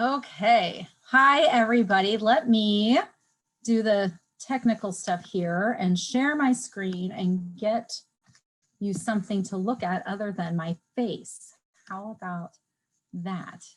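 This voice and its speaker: At a very slow pace, the speaker sounds somewhat breathy, with ordinary pitch variation. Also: woman, medium pitch for a woman. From New Jersey, south of Philadelphia; moved to Iowa as child. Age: 40s. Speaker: marketing consultant, webinar presenter. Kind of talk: webinar presentation. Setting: video call.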